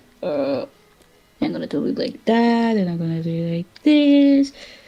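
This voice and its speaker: A woman speaks at a fairly slow pace in a dark, mellow, somewhat breathy tone. Her medium-pitched voice swings very widely in pitch. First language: Spanish. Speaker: streamer and artist. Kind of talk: casual chat while drawing.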